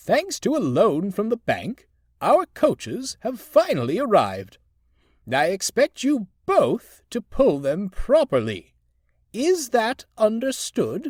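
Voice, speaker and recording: A man puts on a character voice pitched extremely high, speaking at a fairly slow pace. The sound is dry and close, with no echo. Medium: read story. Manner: formal, pompous.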